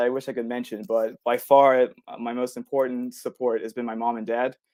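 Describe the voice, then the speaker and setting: At a moderate pace and with fairly even intonation, the speech carries a dark, mellow tone. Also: man. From Bermuda. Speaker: ornithologist. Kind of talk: lecture. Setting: virtual public forum. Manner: casual, hesitant.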